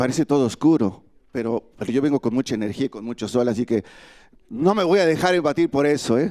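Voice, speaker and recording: A man with a fairly high pitch and a dark, mellow tone speaks at a fairly quick pace with lively intonation, in a very clean recording that is dry and close, with a silent background and no echo. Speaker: migrant activist. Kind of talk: panel speech.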